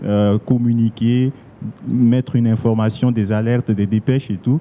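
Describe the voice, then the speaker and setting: The speech runs at a fairly slow pace with fairly even intonation. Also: man. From Central African Republic. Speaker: radio journalist and blogger; radio journalist, blogger. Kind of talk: panel discussion. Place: hall. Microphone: handheld.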